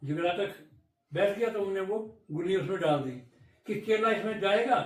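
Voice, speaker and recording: A man's high-pitched voice at a moderate pace. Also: ordinary pitch variation. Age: 80s+. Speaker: village elder, folk storyteller. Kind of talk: interview answer.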